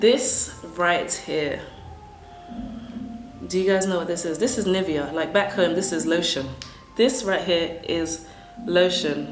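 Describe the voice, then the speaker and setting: A woman with a fairly low pitch at a fairly slow pace, with ordinary pitch variation and long, frequent pauses, over music in the background. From Africa. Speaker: English teacher. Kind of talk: casual talk to camera.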